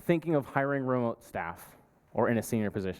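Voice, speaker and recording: A man is speaking. His accent is American. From US Northeast, New York. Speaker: partnerships manager at a software company. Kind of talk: conference talk.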